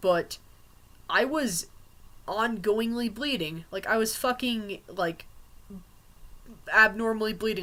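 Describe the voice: A man speaks at a high pitch in a bright, sharp tone. His pitch variation is ordinary.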